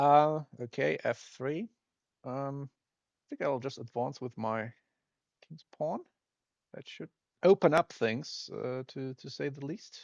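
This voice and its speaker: The speaker talks very slowly with a non-native accent, leaving long, frequent pauses and using ordinary pitch variation. The sound is dry and close with no echo, over a quiet background. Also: man, fairly high pitch for a man. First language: not English. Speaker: retro game developer playing games. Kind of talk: let's play commentary. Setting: screen recording of emulator. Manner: halting, many fillers; casual.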